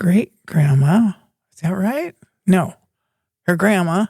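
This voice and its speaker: Her voice fairly low and somewhat breathy, a woman speaks with ordinary pitch variation in a dry, close sound with no echo. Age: 90s. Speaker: grandmother and gardener. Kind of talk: casual chat.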